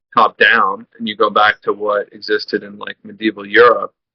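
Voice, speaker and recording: The man speaks at a moderate pace. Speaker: podcast interviewer. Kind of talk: conversational interview.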